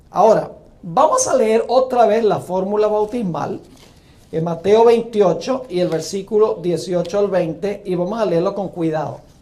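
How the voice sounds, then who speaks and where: A man speaks at a fairly slow pace with a high pitch and ordinary pitch variation. The room echo is audible, and there is noticeable background noise. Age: 60s. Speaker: pastor. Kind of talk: sermon.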